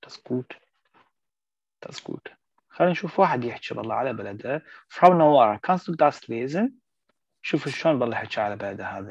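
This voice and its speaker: The speaker moves at a moderate pace with lively intonation, long and frequent pauses, and big swings in loudness. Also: man, medium pitch for a man. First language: Arabic (speaking German). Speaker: German language teacher. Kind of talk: online language lesson.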